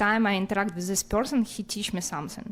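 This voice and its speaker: Talking at a very fast pace, a woman with a non-native accent has a fairly high pitch. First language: not English. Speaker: audience member. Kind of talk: question from audience. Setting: class with audience. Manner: halting.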